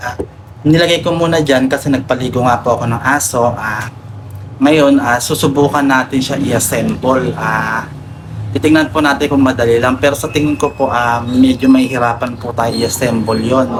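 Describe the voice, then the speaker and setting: A man's medium-pitched voice at a moderate pace, fairly even intonation, with noticeable background noise. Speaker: vlogger. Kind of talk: casual vlog tutorial. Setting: outdoors by the street. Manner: loud.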